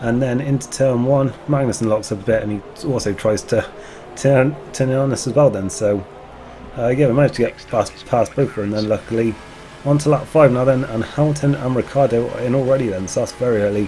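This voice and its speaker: With music in the background, a man at a medium pitch talks at a fairly quick pace, his pitch varying in an ordinary way. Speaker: gaming commentator. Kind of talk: casual gameplay commentary.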